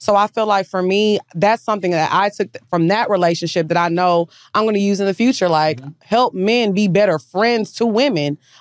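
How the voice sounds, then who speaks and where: A woman with an American accent, medium in pitch, at a fairly quick pace with ordinary pitch variation, dry with no echo against a quiet background. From Texas. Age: 30s. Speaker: podcaster. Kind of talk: casual chat. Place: studio. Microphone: studio mic.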